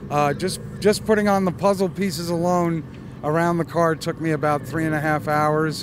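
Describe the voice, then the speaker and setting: A man with a fairly high pitch speaks at a moderate pace with fairly even intonation, and there is noticeable background noise. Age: 60s. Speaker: car customizer at a car show. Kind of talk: casual interview. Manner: hesitant, many fillers.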